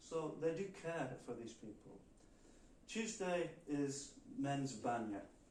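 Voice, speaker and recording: A man with a fairly high pitch and lively intonation, at a very slow pace with long, frequent pauses, in audible room echo. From northern England, Liverpool area. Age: 60s. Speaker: volunteer, retired engineer. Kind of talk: talk with audience Q&A. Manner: halting.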